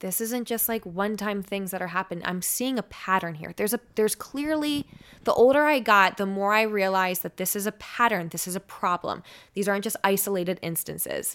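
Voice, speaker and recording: Spoken at a fairly quick pace with ordinary pitch variation, in a very clean recording over a silent background. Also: woman, medium pitch for a woman. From US Northeast, South Jersey near Philadelphia. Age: 20s. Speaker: radio personality. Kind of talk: casual chat. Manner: trips over words.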